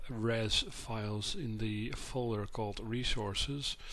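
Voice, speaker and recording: The speaker is a man with a medium pitch. He keeps his intonation fairly even. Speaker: modding tutorial maker. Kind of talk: screen-capture tutorial narration. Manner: quiet, subdued.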